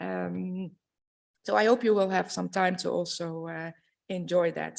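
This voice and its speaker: The speaker has a Dutch accent and keeps a moderate pace. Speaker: university administrator. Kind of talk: welcome speech. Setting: conference stage with audience. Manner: formal.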